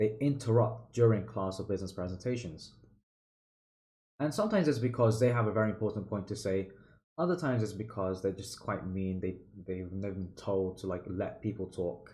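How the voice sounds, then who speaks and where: A man speaks at a moderate pace with a dark, mellow tone, fairly low pitch and ordinary pitch variation. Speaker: public speaking mentor. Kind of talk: tutorial. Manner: loud; casual, filler-heavy.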